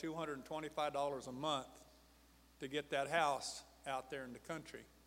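With audible room echo, a man talks in fairly even intonation. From New Mexico. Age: old. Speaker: preacher. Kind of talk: sermon. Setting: church.

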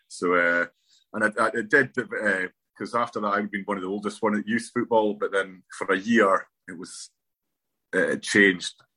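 A man with a northeast Scottish accent speaks at a moderate pace, fairly low in pitch and fairly even in intonation, with big swings in loudness. His tone is bright and sharp, and the sound is dry and close with no echo. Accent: north-east Scottish. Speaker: former footballer. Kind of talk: interview.

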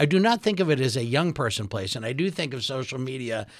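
With an ordinary speaking voice at medium pitch, a man talks at a fairly quick pace. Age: 60s. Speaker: radio host and attorney. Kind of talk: radio interview. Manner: formal.

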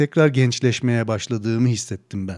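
On a very clean recording with a silent background, a man's dark, mellow tone comes through at a moderate pace, the sound dry and close with no echo. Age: 40s. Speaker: podcast host. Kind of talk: casual interview.

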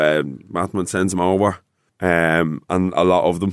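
With an Irish accent, a man speaks in a very deep, low pitch and fairly even intonation, on a very clean recording with a silent background. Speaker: rapper. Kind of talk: casual interview chat.

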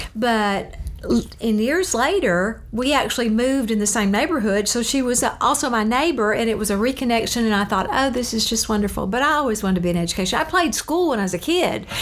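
With a Southern US accent, a woman talks at a fairly quick pace and fairly high pitch, with lively intonation and very even loudness, amid audible room echo and noticeable background noise. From Louisiana. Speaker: retired school counselor. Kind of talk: interview.

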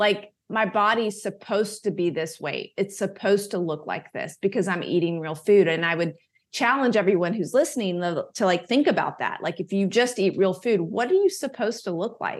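Her voice is an unremarkable speaking voice, medium-pitched, with ordinary pitch variation, a moderate pace and hardly any pauses. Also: quiet background. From US South. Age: 40s. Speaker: wellness advocate and author. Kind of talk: interview.

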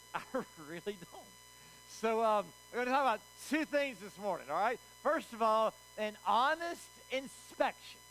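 A man with a Southern US accent speaks in a high pitch with a bright, sharp, animated tone and lively intonation. His pace is moderate, with long, frequent pauses and big swings in loudness. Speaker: pastor. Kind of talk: sermon. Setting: church. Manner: animated, call-and-response.

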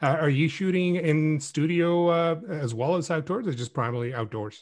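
A man's somewhat breathy voice rises and falls with lively intonation. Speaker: podcast host. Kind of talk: casual interview chat.

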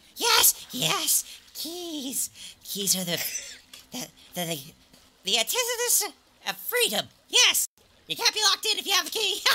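Long, frequent pauses break up a put-on character voice. It is extremely high in pitch and moves at a fairly slow pace. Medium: actual play. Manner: manic, rambling, eager; faintly smiling, chirpy shopkeeper greeting.

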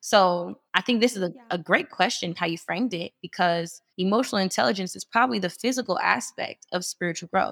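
A woman's plain, everyday voice with an American accent, medium pitch, lively intonation and a fairly quick pace with hardly any pauses, dry and close with no echo on a very clean recording with a silent background. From US Midwest. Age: 20s. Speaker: women's organization leader. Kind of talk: casual interview about faith and healing.

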